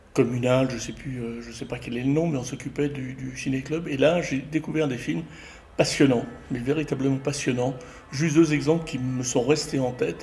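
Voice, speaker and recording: Amid audible room echo and noticeable background noise, a man talks at a moderate pace with a medium pitch, fairly even intonation and big swings in loudness. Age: 60s. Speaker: retired graphic designer and filmmaker. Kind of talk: interview. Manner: hesitant, many fillers.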